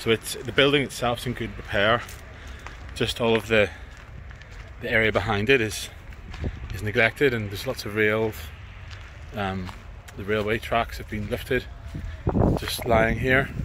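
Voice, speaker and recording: A man speaks with long, frequent pauses. The sound is dry with no echo, with light background noise. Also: moderate pace. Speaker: urban explorer vlogger. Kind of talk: casual vlog chat. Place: station.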